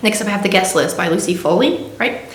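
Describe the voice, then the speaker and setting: A woman talks at a very fast pace with ordinary pitch variation. There is audible room echo and noticeable background noise. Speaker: book vlogger. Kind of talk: casual chat.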